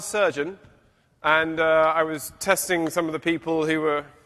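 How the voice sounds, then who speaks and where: Loud and bright with a sharp edge, a man's high-pitched voice moves at a moderate pace. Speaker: professor. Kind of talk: lecture. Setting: stage with audience.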